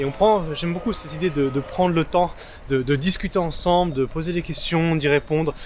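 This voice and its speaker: Over noticeable background noise, a man talks in a fairly high pitch. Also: fairly quick pace. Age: young. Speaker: freelance videographer. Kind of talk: interview. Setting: outdoors.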